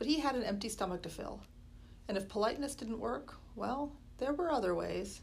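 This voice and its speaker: A woman speaks at a fairly high pitch with vocal fry. Her speech is broken by long, frequent pauses. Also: lively intonation. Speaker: school librarian reading aloud. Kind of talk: horror audiobook reading, spooky first-chapter narration.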